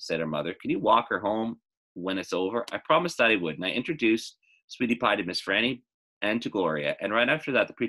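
Quiet background behind an unforced reading voice

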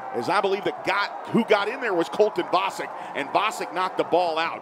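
A man speaks in a high pitch with an excited, animated tone and ordinary pitch variation. His pace is fairly quick, and noticeable background noise is present. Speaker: play-by-play announcer. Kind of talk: live sports commentary. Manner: fast, excited, animated play-by-play delivery.

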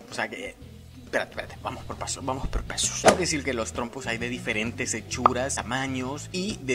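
The delivery is fairly quick and playful in tone. Music plays clearly in the background. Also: man. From El Salvador. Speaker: YouTuber. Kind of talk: casual talk to camera. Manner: humorous, playful. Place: home room. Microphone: phone near.

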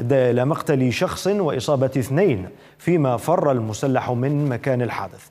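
At a fairly slow pace, a man with a plain, everyday voice at medium pitch speaks with lively intonation. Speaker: news anchor. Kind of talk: news reading. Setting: studio.

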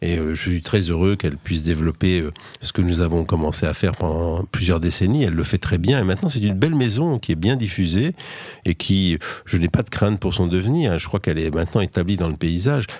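A man's very deep, low voice with ordinary pitch variation, dry with no echo, over a quiet background. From Limousin, France; France. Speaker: poet; poet, interview guest. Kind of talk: poetry reading; radio interview. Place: studio.

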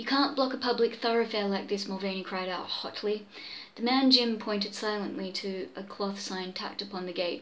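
The reading voice sounds natural, with pitch that varies in an ordinary way.

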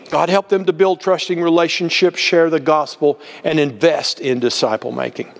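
This man's voice sits high in pitch. It shows ordinary pitch variation. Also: moderate pace. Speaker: ministry executive director. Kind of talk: ministry update with fervent closing prayer. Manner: earnest, fervent, pleading; polished, promotional. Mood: earnest, prayerful. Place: garage. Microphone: lapel.

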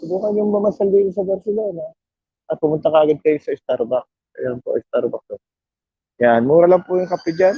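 Lively intonation marks this man's speech. His pitch is high. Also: fairly quick pace. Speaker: vlogger. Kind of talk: walking vlog. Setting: outdoors.

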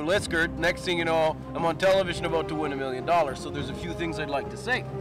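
Clear music is in the background. A man's voice comes through dry, with no echo. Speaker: comic character. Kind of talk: interview answer. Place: forest.

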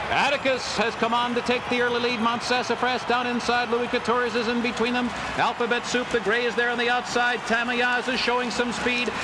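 Through noticeable background noise, a man projects a raised voice at an extremely high pitch, talking at a fairly quick pace with hardly any pauses and very even loudness. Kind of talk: live horse race commentary. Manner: builds to an excited, emphatic pitch at the upset finish.

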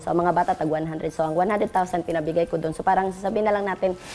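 Faint music plays in the background. A woman speaks with a fairly low pitch and ordinary pitch variation. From Davao, Philippines; Philippines. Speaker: businesswoman; interviewee. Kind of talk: interview. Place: home room.

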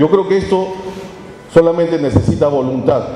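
A man talks at a moderate pace with fairly high pitch and ordinary pitch variation. His tone is dark and mellow, over faint background noise.

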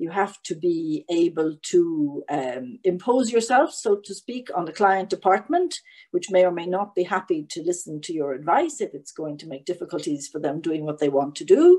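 A woman with a fairly low, dark, mellow voice talks with lively intonation and big swings in loudness. She hardly pauses, and the background is quiet. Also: moderate pace. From Ireland. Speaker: EU lawyer; webinar panelist. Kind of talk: panel talk. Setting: online event. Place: home room. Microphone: webcam.

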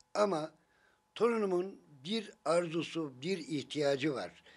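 A man speaks with a fairly high pitch and lively intonation. The background is quiet. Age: old. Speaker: grandparent of a sick child, street vendor; street vendor. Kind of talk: casual family chat and appeal to officials. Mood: warm, gently smiling. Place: home room.

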